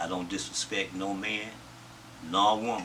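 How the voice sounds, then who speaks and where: A man with an American accent, fairly low pitch, a monotone, flat intonation and a moderate pace, plus audible room echo and noticeable background noise. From US South. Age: 70s. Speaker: interviewee recounting his life. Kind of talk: interview.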